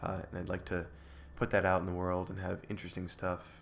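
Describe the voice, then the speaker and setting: In a calm, relaxed tone, a man talks at a fairly quick pace. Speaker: podcast host. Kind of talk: solo monologue, improvised talk. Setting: home recording, solo. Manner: calm, relaxed, rambling.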